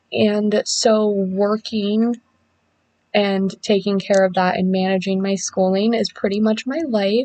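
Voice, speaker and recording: The woman here speaks at a medium pitch. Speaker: student. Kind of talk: class introduction video. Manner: energetic.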